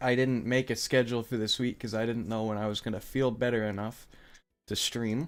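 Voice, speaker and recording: Talking at a fairly quick pace, a man with a medium-pitched voice delivers his words in a flat monotone. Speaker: streamer. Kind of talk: casual chat. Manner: stammering repetitions.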